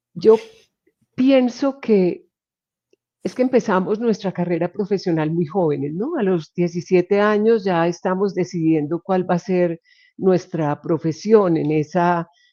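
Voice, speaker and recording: Over a quiet background, a woman with a plain, everyday voice talks at a fairly slow pace. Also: medium pitch for a woman, ordinary pitch variation, dry, close sound with no echo. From Colombia, Medellín area. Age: 60s. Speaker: occupational health physician. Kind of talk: interview conversation.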